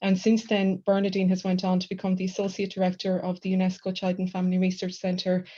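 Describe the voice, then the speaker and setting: This voice has an Irish accent and a dark, mellow tone, somewhat breathy and flat in intonation. It moves at a very fast pace over a quiet background. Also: woman. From west of Ireland. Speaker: university lecturer, book co-editor. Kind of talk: academic book launch presentation. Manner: hesitant, many fillers.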